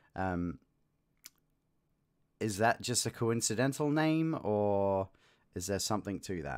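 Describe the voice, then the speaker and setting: Fairly slow speech with long, frequent pauses and very wide pitch swings in an Australian accent, on a very clean recording with a silent background. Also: man. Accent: mild Australian. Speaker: livestream host reading books aloud. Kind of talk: casual livestream chat. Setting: live stream with chat. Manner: hesitant, many fillers.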